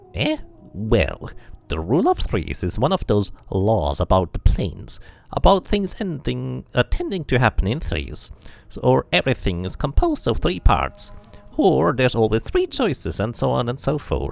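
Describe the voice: A man puts on a character voice at a medium pitch, with vocal fry. His pitch swings very widely at a fairly slow pace.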